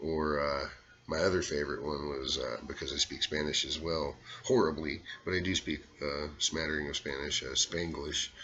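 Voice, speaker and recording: A man with a very deep, low pitch and vocal fry speaks at a moderate pace with fairly even intonation. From US South, Arkansas. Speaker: impressionist. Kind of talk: casual monologue.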